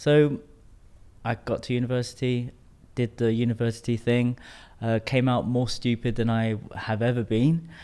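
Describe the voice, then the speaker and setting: A man with a British accent and a dark, mellow tone speaks in a flat monotone with long, frequent pauses, recorded very cleanly against a silent background. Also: medium pitch for a man, moderate pace. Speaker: tantra coach. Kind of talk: podcast interview.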